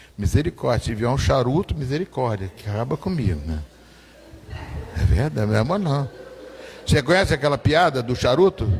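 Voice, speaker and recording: Long, frequent pauses break up a man's speech as his pitch swings very widely. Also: medium pitch for a man. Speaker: pastor. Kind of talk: testimony. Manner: animated.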